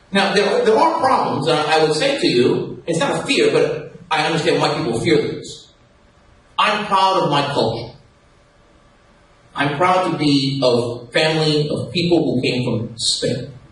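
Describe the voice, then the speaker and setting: With audible room echo and noticeable background noise around him, a man speaks fairly slowly in a fairly high pitch. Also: lively intonation. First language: Castilian Spanish. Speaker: radio host, panelist. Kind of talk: panel debate. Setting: live event with audience.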